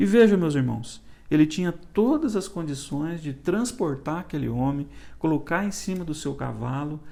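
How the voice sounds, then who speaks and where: Here a man has a fairly high pitch, a dark, mellow tone and lively intonation. Room echo is audible. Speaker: church elder teaching Sunday school. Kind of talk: Bible study lecture. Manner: halting, with frequent restarts and fillers.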